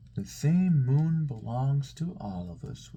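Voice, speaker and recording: Speaking at a fairly slow pace, a man uses a put-on character voice at a medium pitch. Light background noise can be heard. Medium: read story.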